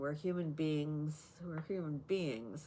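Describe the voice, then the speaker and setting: Speaking at a very slow pace, a woman uses a very deep, low pitch. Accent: Canadian. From Canada. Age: 80s+. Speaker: lifestyle vlogger. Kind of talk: talk to camera. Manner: hesitant, many fillers.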